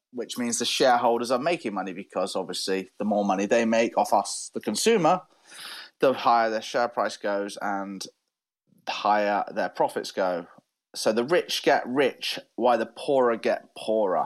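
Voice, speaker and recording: A man speaks in a West Country accent at medium pitch with ordinary pitch variation. The background is quiet. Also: moderate pace. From southwest England, Devon. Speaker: podcast co-host. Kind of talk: casual debate chat.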